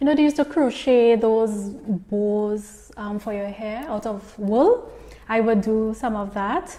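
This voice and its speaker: With a Trinidadian accent, a woman speaks at a fairly slow pace and fairly high pitch with ordinary pitch variation, over noticeable background noise. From southern Trinidad, rural Princes Town. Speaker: entrepreneur and speaker. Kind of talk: interview answers, personal story.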